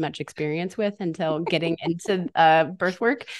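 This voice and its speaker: A normal speaking voice with an American accent, lively intonation and a moderate pace. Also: woman. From eastern Washington state, US. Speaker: birth center education coordinator. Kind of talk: casual interview chat.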